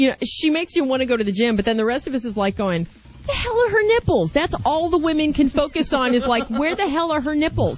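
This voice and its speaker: Over noticeable background noise, a woman talks at a very fast pace in a high pitch with very wide pitch swings. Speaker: podcast host. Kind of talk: casual chat. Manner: animated.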